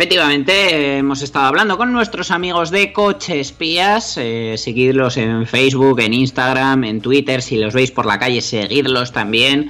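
Over noticeable background noise, a man at medium pitch speaks at a fairly slow pace with lively intonation and hardly any pauses. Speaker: radio host. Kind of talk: casual chat.

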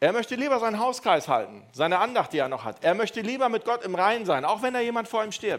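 At a very fast pace with hardly any pauses, a man speaks in a high pitch with an animated tone and lively intonation. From Düsseldorf area, Germany. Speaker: youth preacher. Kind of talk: evangelistic talk. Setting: stage with audience.

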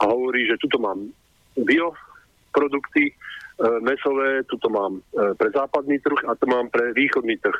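This man's voice sits at a medium pitch as he talks at a moderate pace. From Slovakia. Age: 60s. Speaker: caller. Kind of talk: phone-in question. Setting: phone call.

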